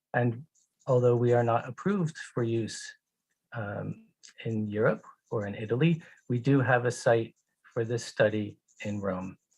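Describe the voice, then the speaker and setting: A man with an American accent speaks at medium pitch, somewhat breathy, with ordinary pitch variation. His pace is fairly slow, with long, frequent pauses. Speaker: pharmaceutical company executive. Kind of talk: conference presentation. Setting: online conference. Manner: slow, deliberate for interpreter.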